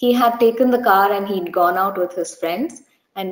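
A woman speaks in an Indian accent at a medium pitch and a moderate pace. Room echo is audible. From India, Bangalore. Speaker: church member giving testimony. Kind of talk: testimony. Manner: hesitant, many fillers. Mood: earnest, gentle, reflective. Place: home room. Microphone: webcam.

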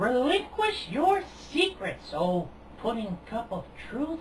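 A high, cartoonish female-sounding character voice with very wide pitch swings, delivered at a fairly slow pace over clear background noise. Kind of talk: mock-epic proclamation. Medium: puppet show. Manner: grandiose, nonsensical.

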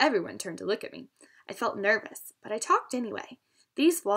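In an unforced reading voice with lively intonation, the speaker reads against a quiet background.

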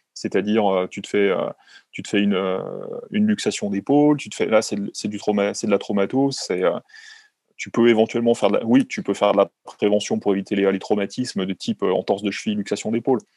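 Speaking at a fairly quick pace, a man is heard in a dry recording with no echo and a quiet background. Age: 40s. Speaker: sports doctor; guest. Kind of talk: interview; interview answer. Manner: halting, many fillers. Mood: calm, explanatory. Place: home room. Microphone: video call.

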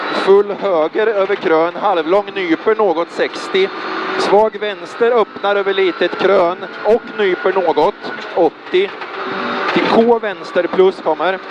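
Background noise can be clearly heard. The recording is dry, without any echo. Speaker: rally co-driver. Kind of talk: rally co-driver reading pacenotes aloud during a stage. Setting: in a rally car. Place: car. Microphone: helmet.

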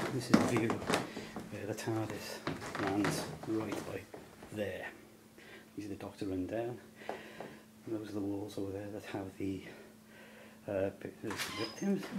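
The speech moves at a fairly slow pace over noticeable background noise. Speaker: fan filming a location tour. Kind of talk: location walkthrough video tour. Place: hall. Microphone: phone near.

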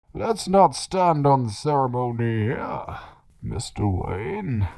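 Speaking at a very slow pace, this man has a medium pitch. His pitch swings very widely. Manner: menacing, formal.

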